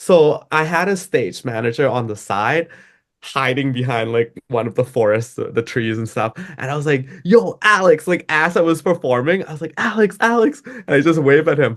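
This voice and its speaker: With a Thai accent, a man speaks at a moderate pace in a fairly high voice that makes very wide pitch swings. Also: quiet background. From Thailand. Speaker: DJ and music producer. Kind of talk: interview. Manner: casual, filler-heavy.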